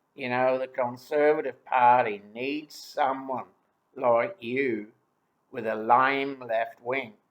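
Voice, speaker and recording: A man uses a put-on character voice with a slow drawl and a medium pitch. His delivery is very slow with fairly even intonation. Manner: slow drawl, wry.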